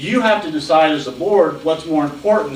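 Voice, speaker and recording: This is a man's voice. Both audible room echo and noticeable background noise come through. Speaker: city administrator and hiring consultant. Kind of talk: presentation at a public board meeting. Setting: county board meeting room. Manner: fast.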